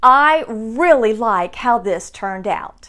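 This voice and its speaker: A woman talks with pitch that swings very widely up and down. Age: 60s. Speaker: sewing tutorial maker. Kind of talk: tutorial.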